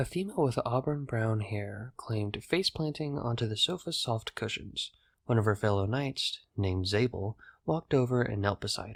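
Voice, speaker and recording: Recorded very cleanly against a silent background, a man speaks at a moderate pace and medium pitch in a somewhat breathy voice with lively intonation. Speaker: narrator. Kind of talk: audiobook narration.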